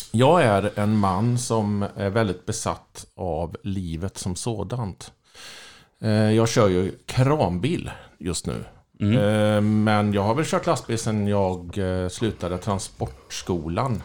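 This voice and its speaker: A man talks at a fairly low pitch with ordinary pitch variation. The recording is very clean, with a silent background. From Skaraborg, Sweden (Lidköping). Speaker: crane truck driver. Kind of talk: casual chat.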